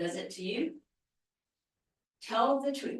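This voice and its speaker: An animated, somewhat breathy woman at a fairly slow pace, with very wide pitch swings. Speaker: public commenter at town meeting. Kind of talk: public comment at planning meeting.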